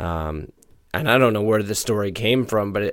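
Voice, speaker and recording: A man's fairly low voice comes across as an unremarkable speaking voice. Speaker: hockey podcast co-host. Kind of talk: casual sports podcast chat and analysis. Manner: laid-back, conversational.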